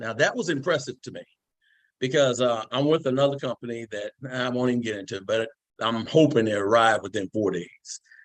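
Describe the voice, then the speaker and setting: Talking at a fairly quick pace, a man of medium pitch shows ordinary pitch variation and big swings in loudness. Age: 60s. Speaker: network marketing distributor giving testimonial. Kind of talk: product testimony on video call. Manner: animated.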